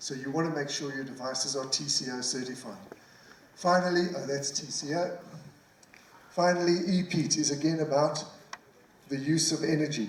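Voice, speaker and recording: A man with a fairly high pitch speaks at a moderate pace with fairly even intonation, leaving long, frequent pauses. Noticeable background noise and audible room echo surround him. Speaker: tech company presenter. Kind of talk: conference presentation.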